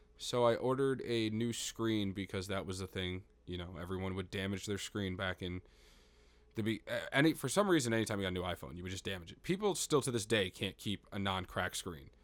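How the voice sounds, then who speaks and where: Recorded very cleanly against a silent background, a man with a normal speaking voice talks at a fairly low pitch with ordinary pitch variation. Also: fairly quick pace. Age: 20s. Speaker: podcast host. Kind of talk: casual banter. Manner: joking.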